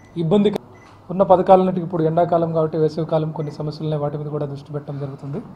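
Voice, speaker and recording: Over light background noise, a man with a fairly high pitch speaks in a monotone, flat intonation. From Vijayawada, Andhra Pradesh, India; Andhra Pradesh, India. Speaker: district collector. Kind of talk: press interview. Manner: halting. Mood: calm, measured. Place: office. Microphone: handheld.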